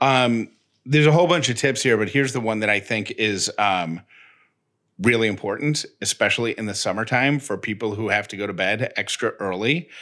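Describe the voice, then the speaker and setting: In an American accent, a man talks at a fairly quick pace and medium pitch with ordinary pitch variation. His tone is bright and sharp, on a very clean recording with a silent background. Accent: slight Syracuse accent, noted by a listener. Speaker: podcast co-host. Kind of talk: casual chat.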